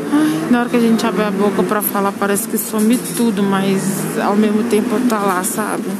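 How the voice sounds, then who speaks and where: Her medium-pitched voice keeps very even loudness and fairly even intonation. The woman is heard with noticeable background noise and audible room echo. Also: moderate pace, hardly any pauses. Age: 20s. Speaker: podcaster. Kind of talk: personal vlog monologue. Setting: on a bus. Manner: hesitant.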